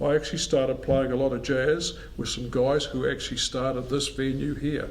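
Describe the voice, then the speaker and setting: A man with a fairly high pitch speaks at a moderate pace, with audible room echo and noticeable background noise. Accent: New Zealand. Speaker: musician. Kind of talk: interview.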